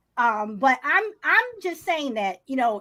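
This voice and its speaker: A raised, projected voice comes through with a bright, sharp tone. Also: woman. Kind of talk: heated debate. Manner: halting.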